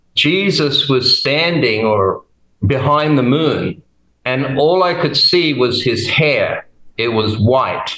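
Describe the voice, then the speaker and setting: Speaking at a very slow pace, a man shows ordinary pitch variation. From Australia, Brisbane in Queensland. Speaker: testimony guest. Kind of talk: testimony.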